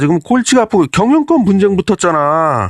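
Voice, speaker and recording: This man has a high voice that makes very wide pitch swings. The background is quiet. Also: dry, close sound with no echo. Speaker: stock and current affairs commentator. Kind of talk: casual commentary monologue. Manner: conversational, animated.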